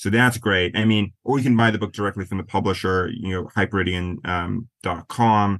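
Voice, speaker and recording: An ordinary speaking voice with an American accent moves at a fairly quick pace, with fairly even intonation and hardly any pauses. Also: man, fairly low pitch for a man. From US Midwest, western South Dakota. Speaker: author. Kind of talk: interview.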